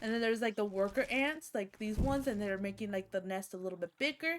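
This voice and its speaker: This woman's voice is fairly high in pitch and shows ordinary pitch variation. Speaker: streamer. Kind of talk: casual gaming livestream chat. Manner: loud; animated.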